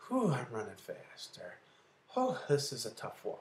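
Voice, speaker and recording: Doing a put-on character voice, a man speaks breathily at a moderate pace with big swings in loudness. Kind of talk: instructional demo of exertion level. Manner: short breathy phrases.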